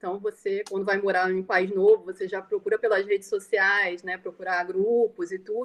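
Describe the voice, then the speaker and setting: The sound is dry and close, with no echo. Delivery is monotone and flat at a moderate pace, with hardly any pauses. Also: woman, medium pitch for a woman. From Brazil, Rio de Janeiro. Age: 40s. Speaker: Brazilian emigrant. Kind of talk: testimony in live online talk.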